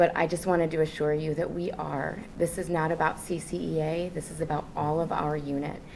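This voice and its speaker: A woman's very deep, low voice comes out shaky and in a flat monotone. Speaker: teacher and union negotiator. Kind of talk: contract bargaining meeting. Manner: shaky, emotional voice.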